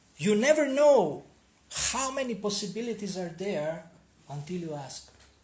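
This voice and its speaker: Speaking at a moderate pace, a man uses a high pitch with very wide pitch swings and big swings in loudness. Audible room echo surrounds his voice. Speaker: spiritual seminar teacher. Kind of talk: seminar talk.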